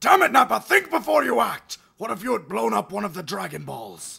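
A man's high-pitched, put-on character voice at a fairly quick pace. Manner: irritable, sarcastic, exasperated.

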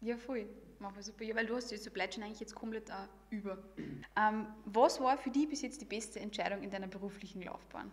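The delivery is fairly quick, with ordinary pitch variation and big swings in loudness. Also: woman, fairly high pitch for a woman. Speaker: podcast host. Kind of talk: casual interview. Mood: friendly, cheerful. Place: meeting room. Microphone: studio mic.

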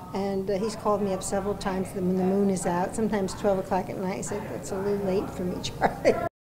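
Over noticeable background noise, a woman talks very fast in a flat monotone with hardly any pauses. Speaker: retirement home resident. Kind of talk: interview. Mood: amused, anecdotal. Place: home room.

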